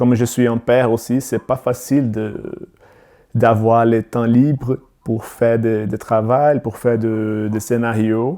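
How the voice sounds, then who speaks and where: With a Brazilian accent, a man talks at a very slow pace in a medium pitch, his tone dark and mellow and his intonation fairly even. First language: Portuguese (speaking French). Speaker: filmmaker. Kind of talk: podcast interview. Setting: video call. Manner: halting.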